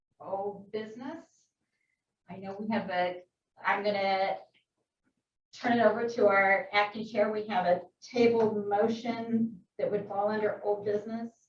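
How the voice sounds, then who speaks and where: Somewhat breathy, a woman at a medium pitch speaks at a fairly slow pace in monotone, flat intonation with long, frequent pauses. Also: big swings in loudness. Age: 60s. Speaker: board chair. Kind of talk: board meeting.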